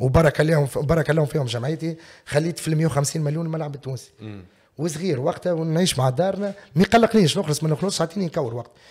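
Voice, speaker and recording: Lively intonation carries speech delivered fairly quickly. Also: man. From Tunisia. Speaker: former footballer and sports pundit; podcast guest. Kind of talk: casual interview. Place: studio. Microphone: studio mic.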